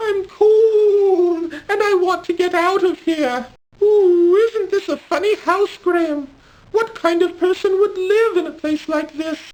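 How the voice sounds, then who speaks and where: This is a put-on character voice pitched extremely high. It moves at a fairly slow pace. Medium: video game. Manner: fretful, exclamatory.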